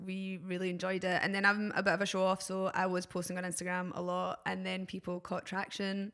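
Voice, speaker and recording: In a Glaswegian accent, a woman talks at a fairly quick pace and a medium pitch. Her intonation is monotone and flat. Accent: Glaswegian Scottish. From Scotland, Glasgow. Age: 30s. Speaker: DJ and visual artist. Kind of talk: casual podcast chat. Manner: hesitant, many fillers.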